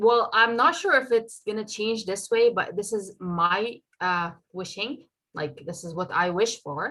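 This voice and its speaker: A woman with a bright, sharp tone and a fairly high pitch speaks at a fairly slow pace. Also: lively intonation. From Saudi Arabia. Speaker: doctor. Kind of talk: interview answers; presentation.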